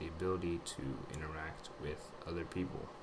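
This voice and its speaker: A man's fairly slow speech comes through audible room echo and noticeable background noise. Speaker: vlogger sharing personal recovery journey. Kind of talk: personal testimony monologue. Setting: audio recording at home computer. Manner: halting, many fillers.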